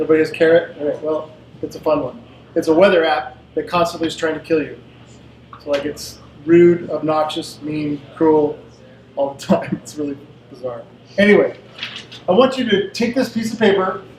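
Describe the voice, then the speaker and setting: Against noticeable background noise, a man with a fairly high pitch and ordinary pitch variation talks at a moderate pace, his loudness swinging widely and his speech broken by long, frequent pauses. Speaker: presenter leading team games. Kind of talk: interactive workshop presentation.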